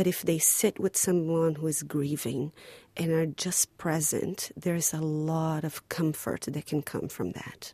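A woman with a Portuguese accent speaks at a fairly slow pace in a very deep, low voice with a dark, mellow tone and monotone, flat intonation, the sound dry and close with no echo. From Brazil. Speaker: playwright. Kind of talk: interview.

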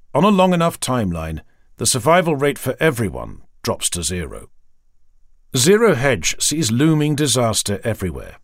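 A man with vocal fry speaks at a medium pitch and a moderate pace, his pitch swinging very widely, on a very clean recording with a silent background. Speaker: audiobook narrator. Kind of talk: reading aloud.

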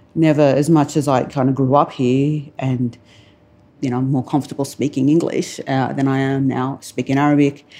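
With an Australian accent, a woman speaks at a moderate pace in a dark, mellow tone. Her pitch is very deep and low, and her intonation is monotone and flat. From Australia, born in Lebanon. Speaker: writer. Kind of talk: panel discussion. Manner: halting.

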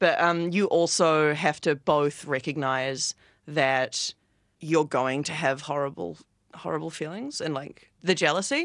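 Against a quiet background, a woman with a New Zealand accent speaks fairly slowly in a very deep, low pitch with fairly even intonation. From New Zealand, Wellington. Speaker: artist. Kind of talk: interview.

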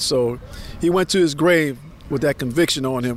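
There is noticeable background noise as a man talks. His pace is moderate and his pitch variation ordinary. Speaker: descendant and civil rights advocate. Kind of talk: interview.

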